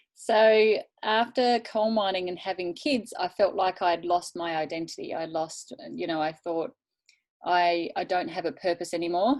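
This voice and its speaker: Speaking in an Australian accent, a woman has a fairly low pitch. Her pitch varies in an ordinary way at a moderate pace. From Tasmania, Australia. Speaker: network marketing leader. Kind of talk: interview with live interpretation.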